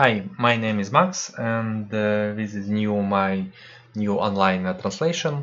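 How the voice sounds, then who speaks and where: With a Russian accent, a man speaks at a very slow pace in a fairly low pitch with ordinary pitch variation. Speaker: spiritual practitioner. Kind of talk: online talk. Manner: halting.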